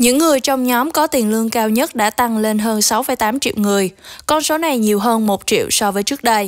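A woman's fairly high voice at a fairly quick pace with hardly any pauses, very even loudness, ordinary pitch variation, and an ordinary speaking voice. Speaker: news editor and co-anchor. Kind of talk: news reading. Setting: studio. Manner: formal.

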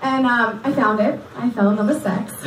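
A woman with a fairly high voice speaks at a moderate pace in a room with audible echo, light noise in the background. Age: 20s. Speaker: comedian. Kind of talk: stand-up. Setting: stage with audience. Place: stage.

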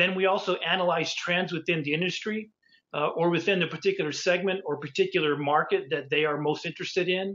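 Intonation stays fairly even even though the pace is very fast. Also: man, high pitch for a man. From New Mexico. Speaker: industry consultant; industry consultant giving guest lecture. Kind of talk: lecture. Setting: virtual lecture. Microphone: webcam.

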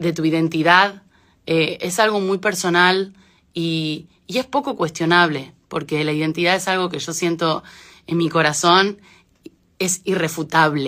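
A woman speaks with an Argentine accent at a fairly low pitch, her tone bright and sharp. She goes at a fairly slow pace with ordinary pitch variation against a quiet background. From Argentina, moved to Spain at age 9. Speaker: singer. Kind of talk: casual talk in an Instagram live. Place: home room. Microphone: phone near.

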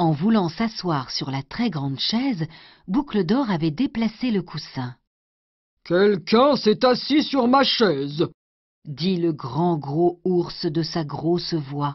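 A somewhat breathy woman's voice, fairly low in pitch, at a very slow pace with very wide pitch swings. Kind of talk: bedtime story reading aloud of a fairy tale, scripted narration. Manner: gentle, slow, soothing storyteller pace.

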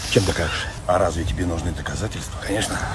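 Noticeable background noise sits behind a man whose voice sounds dry with no echo. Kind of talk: comedic acted dialogue. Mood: ironic, confrontational. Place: open country. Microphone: phone near.

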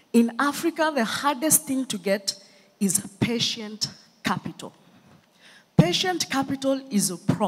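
Long, frequent pauses break up a woman's fairly slow speech. Her fairly high pitch makes very wide swings. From Kenya, Nairobi. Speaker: entrepreneur and scientist. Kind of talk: conference keynote talk. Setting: stage with audience. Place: stage. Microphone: handheld.

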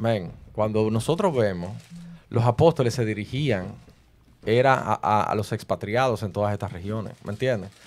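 This man has a fairly low-pitched voice. His pitch varies in an ordinary way. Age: 30s. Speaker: preacher; podcast host, Bible debater. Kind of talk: heated debate. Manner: fast. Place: studio. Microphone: studio mic.

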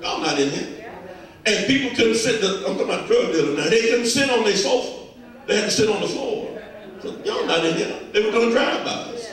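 At a fairly quick pace, a man speaks in an extremely high pitch, with strong room echo and light background noise. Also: lively intonation. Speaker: preacher. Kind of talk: sermon. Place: church.

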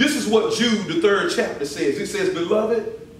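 Audible room echo and light background noise surround a man who speaks at a moderate pace with lively intonation. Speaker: visiting preacher. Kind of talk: sermon. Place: church. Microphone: podium.

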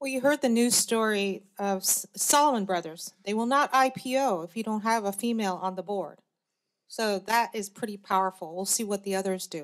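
Against a quiet background, a woman with an American accent speaks at a moderate pace with ordinary pitch variation. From US Mid-Atlantic. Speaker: angel investor and former cancer biologist; panelist. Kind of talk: panel discussion. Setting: stage with audience. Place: hall. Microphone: podium.

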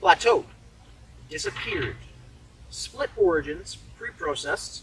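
A man at a fairly quick pace, dry sound with no echo, light background noise. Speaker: poet. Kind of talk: poem reading.

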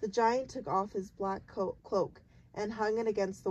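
Pitch varies in an ordinary way. The delivery is a natural reading voice.

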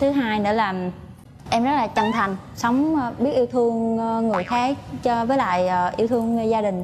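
At a fairly slow pace, a woman with a fairly high pitch speaks with ordinary pitch variation over light background noise. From Quảng Nam, central Vietnam. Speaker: nurse, dating show contestant. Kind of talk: casual on-stage interview. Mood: polite, soft, slightly shy. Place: studio. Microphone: lapel.

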